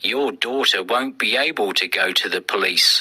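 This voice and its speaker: A man puts on a character voice at a medium pitch. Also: moderate pace. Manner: unfriendly, menacing.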